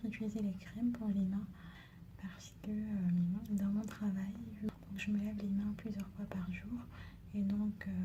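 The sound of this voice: The speech moves at a fairly slow pace with long, frequent pauses. Noticeable background noise can be heard. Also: woman.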